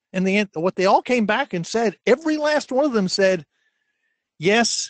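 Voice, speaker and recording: A man with an American accent and very wide pitch swings. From New Jersey. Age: 60s. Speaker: career coach. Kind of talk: webinar Q&A.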